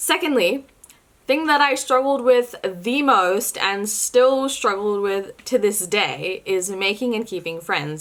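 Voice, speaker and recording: This woman has a New Zealand accent. Her intonation is lively. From New Zealand (from India at age six). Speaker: faith and culture vlogger. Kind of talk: personal vlog monologue. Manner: casual, with fillers.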